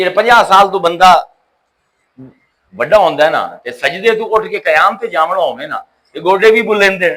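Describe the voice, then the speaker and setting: A man talks at a high pitch with ordinary pitch variation. His tone is bright and sharp. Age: 50s. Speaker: Islamic scholar. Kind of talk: religious lecture. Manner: animated.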